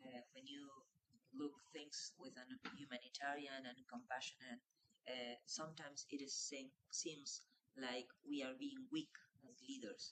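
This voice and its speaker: A woman with a Spanish accent speaks in a very deep, low pitch with ordinary pitch variation. Her delivery is fairly slow, with long, frequent pauses and big swings in loudness. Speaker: health minister. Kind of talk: panel discussion.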